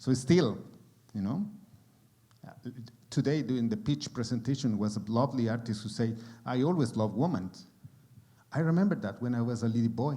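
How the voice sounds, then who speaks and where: A man talks at a fairly quick pace with a strong Mexican accent, his pitch medium and his tone dark and mellow. His intonation is lively, broken by long, frequent pauses. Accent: thick Mexican Spanish. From Mexico. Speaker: actor. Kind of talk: panel discussion. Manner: halting.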